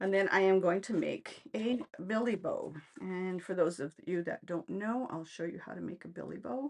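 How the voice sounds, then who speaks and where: A woman with an ordinary speaking voice talks at a medium pitch. Her intonation is lively and her pace moderate. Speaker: craft demonstrator. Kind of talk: tutorial. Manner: casual, chatty.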